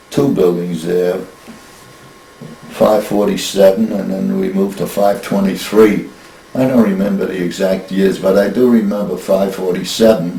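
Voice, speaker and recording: Against noticeable background noise and audible room echo, a man talks at a moderate pace with fairly even intonation and a fairly low pitch. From US Northeast, Brooklyn New York. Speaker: grandfather interviewed about family history. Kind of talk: casual interview. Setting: family kitchen.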